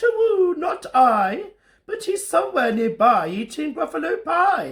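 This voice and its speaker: Speaking in a put-on character voice at a high pitch, the speaker moves at a fairly slow pace with very wide pitch swings. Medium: read story.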